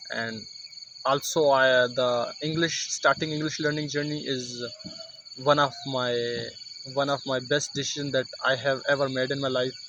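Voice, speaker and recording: A man talks at a moderate pace with monotone, flat intonation and a fairly high pitch. Long, frequent pauses break his speech over noticeable background noise. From Pakistan, Mansehra. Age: 20s. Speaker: English learner vlogger. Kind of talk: casual vlog monologue. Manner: halting, many fillers and restarts.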